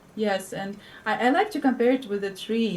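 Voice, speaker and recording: A woman's fairly high voice with a Russian accent. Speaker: spiritual teacher. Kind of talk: interview.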